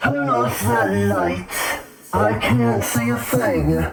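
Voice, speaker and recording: A raspy, low-pitched put-on character voice speaks at a very slow pace. A slight echo is present. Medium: actual play. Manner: curt, demanding.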